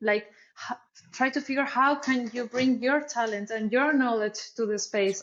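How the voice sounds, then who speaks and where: With fairly even intonation, the woman's high voice moves along at a moderate pace. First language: Spanish. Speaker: artist and marketer. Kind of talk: interview. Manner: halting.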